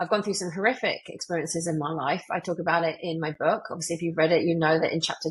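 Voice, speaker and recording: Very fast speech from a woman with a British accent, fairly low pitch and fairly even intonation. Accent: UK. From UK. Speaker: motivational speaker and author. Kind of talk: podcast interview.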